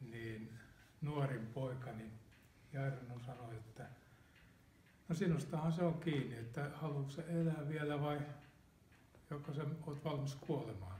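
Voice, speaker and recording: Audible room echo surrounds a man speaking very slowly at a fairly high pitch, with ordinary pitch variation and long, frequent pauses. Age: 70s. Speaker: retired automotive engineer, cancer patient. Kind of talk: interview testimony. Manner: halting, with repetitions and fillers. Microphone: poorly audible audio track.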